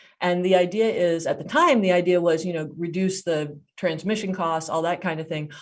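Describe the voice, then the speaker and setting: On a very clean recording with a silent background, a woman with a fairly low pitch talks at a fairly quick pace. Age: 60s. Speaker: storyteller. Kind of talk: storytelling performance. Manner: animated.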